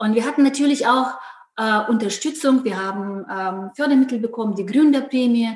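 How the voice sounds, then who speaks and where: Her pitch is fairly high for a woman, with ordinary variation, and she keeps a moderate pace. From Ukraine. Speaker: company founder. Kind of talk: podcast interview. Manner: hesitant with fillers.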